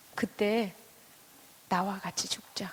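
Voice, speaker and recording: At a moderate pace, a woman speaks with medium pitch and fairly even intonation. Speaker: pastor's wife and speaker. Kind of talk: sermon. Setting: church with audience.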